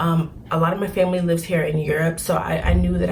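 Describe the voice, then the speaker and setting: A woman speaks quietly at a very fast pace. Noticeable background noise and audible room echo come through. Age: 20s. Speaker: student vlogger. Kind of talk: casual vlog talk. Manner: quiet, low voice.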